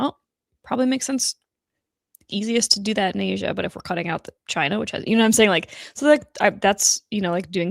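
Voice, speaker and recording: Lively intonation and vocal fry, in a very clean recording with a silent background and a dry, close sound with no echo. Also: woman. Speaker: podcast co-host. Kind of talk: casual chat. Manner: fast.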